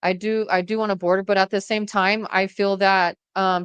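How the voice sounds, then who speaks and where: Against a quiet background, a woman speaks in an unremarkable speaking voice at medium pitch. The sound is dry and close with no echo, and her intonation is fairly even. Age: 40s. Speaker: domestic violence survivor and podcaster. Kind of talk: interview conversation.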